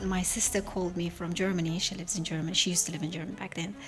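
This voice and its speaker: Noticeable background noise accompanies the recording. Over it, a woman speaks very fast. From Uzbekistan. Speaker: podcast guest. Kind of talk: interview, personal story. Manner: halting, with fillers and restarts.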